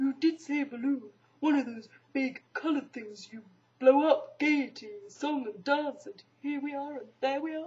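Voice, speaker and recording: This is a put-on character voice. It moves at a moderate pace. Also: woman, high pitch for a woman. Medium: read story. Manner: slow, gloomy, downbeat.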